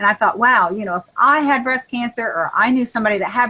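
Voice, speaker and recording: A woman with an American accent speaks with ordinary pitch variation. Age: 60s. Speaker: health coach. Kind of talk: casual chat. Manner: animated.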